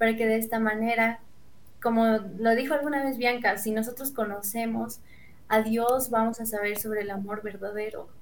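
Her voice is fairly high in pitch and monotone, flat in intonation as the woman speaks at a moderate pace with audible room echo. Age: 20s. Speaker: student. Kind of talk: casual chat.

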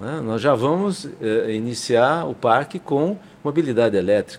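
The speaker is a man with a medium pitch. His intonation is lively. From São Paulo, Brazil. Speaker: state government industrial development official, engineer. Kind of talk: interview. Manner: halting.

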